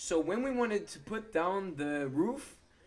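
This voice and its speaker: Against noticeable background noise, a man speaks with lively intonation. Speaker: gaming youtuber. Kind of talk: gameplay commentary. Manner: fast.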